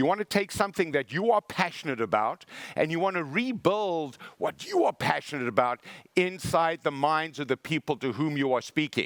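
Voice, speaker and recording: Recorded very cleanly with a silent background and a dry, close sound with no echo, a man with a South African accent speaks at a moderate pace and fairly high pitch in an animated tone with lively intonation. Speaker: motivational speaker. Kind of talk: keynote speech.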